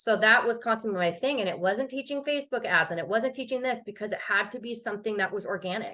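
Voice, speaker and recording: A woman talks at a very fast pace with hardly any pauses. Her tone is bright and sharp, with ordinary pitch variation. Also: fairly high pitch for a woman. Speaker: online business coach. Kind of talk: webinar presentation. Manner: animated.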